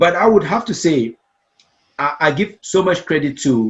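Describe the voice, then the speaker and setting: A man with a Cameroonian accent, fairly high in pitch, lively in intonation, at a moderate pace. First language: Meta. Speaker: storytelling coach and speaker. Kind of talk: interview conversation. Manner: repeats words, some hesitation.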